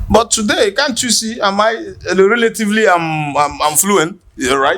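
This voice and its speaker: Raised and projected, a man's high voice with a Nigerian accent swings very widely in pitch at a moderate pace. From Nigeria, Igbo village. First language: Igbo. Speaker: podcast host. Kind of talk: casual chat.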